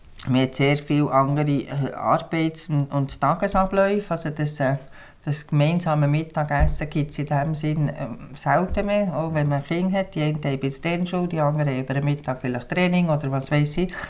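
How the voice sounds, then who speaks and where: At a moderate pace, a woman speaks with fairly even intonation in a very deep, low voice. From Switzerland, Bern and Biel. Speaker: farmer and small-farmers association representative. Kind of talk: interview. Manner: hesitant, frequent fillers.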